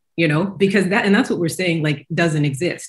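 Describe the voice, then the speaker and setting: Here a woman speaks with an American accent at a medium pitch. Her voice is somewhat breathy, with ordinary pitch variation. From US South, Kentucky. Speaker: professor, panel guest. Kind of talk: panel discussion. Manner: animated.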